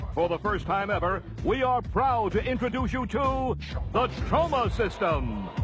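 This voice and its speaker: A man speaks at a fairly slow pace with hardly any pauses and very even loudness while music plays in the background. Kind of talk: infomercial announcer read.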